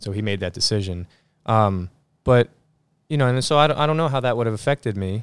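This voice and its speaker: A man with an American accent speaks very fast at medium pitch with ordinary pitch variation, big swings in loudness, and long, frequent pauses. The recording is very clean, the background silent. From New Jersey. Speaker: jazz pianist. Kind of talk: casual interview. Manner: halting, many fillers.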